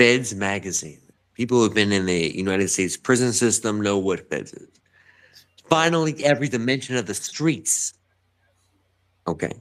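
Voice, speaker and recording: With an American accent, this animated voice has lively intonation and a moderate pace broken by long, frequent pauses. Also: man, fairly low pitch for a man. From New York, Bronx. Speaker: writer and podcast guest. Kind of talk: casual chat. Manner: halting.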